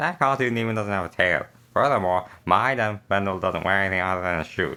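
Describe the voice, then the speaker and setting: In a put-on character voice, a man projects loudly at a fairly low pitch and a fairly quick pace. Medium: read story. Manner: commanding, imperious.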